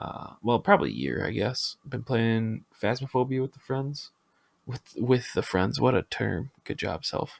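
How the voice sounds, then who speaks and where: In a Midwestern accent, a man speaks at a fairly slow pace with a relaxed tone and big swings in loudness. The sound is dry and close with no echo. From US Midwest, Minnesota. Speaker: podcast host and Twitch streamer. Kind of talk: casual podcast monologue. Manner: relaxed, many filler ums.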